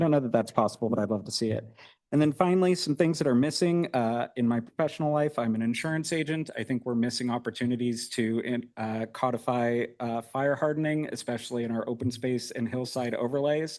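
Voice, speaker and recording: Spoken at a fairly quick pace with hardly any pauses, the voice shows ordinary pitch variation against a quiet background. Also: man, medium pitch for a man. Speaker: public commenter. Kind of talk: public comment at a meeting. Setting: city planning commission meeting. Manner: fast.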